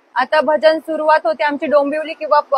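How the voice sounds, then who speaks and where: A woman speaks over noticeable background noise. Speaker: college student and bhajan singer. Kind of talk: interview answer.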